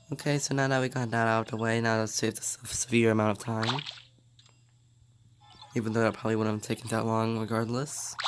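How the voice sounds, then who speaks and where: The speech comes at a very fast pace yet with long, frequent pauses, over noticeable background noise. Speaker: gaming YouTuber. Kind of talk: casual gameplay commentary.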